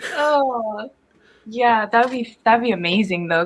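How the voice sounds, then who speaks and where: Fairly high in pitch, a woman speaks in an animated tone. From Jamaica. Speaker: voice narrator and live stream host. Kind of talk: casual live stream chat. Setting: live stream from home.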